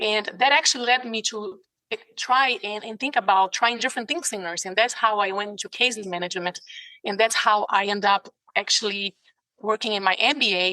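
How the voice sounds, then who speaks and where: A woman with a Brazilian Portuguese accent speaks fairly quickly at a fairly high pitch. The sound is dry and close with no echo, and her pitch varies in an ordinary way. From Brazil, São Paulo. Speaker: ICU nurse and case manager. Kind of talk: interview. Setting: video call. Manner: passionate.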